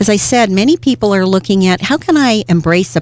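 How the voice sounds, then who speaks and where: A woman with an unremarkable speaking voice, lively intonation, and a moderate pace. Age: 60s. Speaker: career coach, business owner. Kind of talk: interview.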